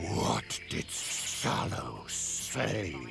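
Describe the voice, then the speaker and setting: A man performs a put-on character voice amid loud background noise. Hissing is audible. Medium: machinima.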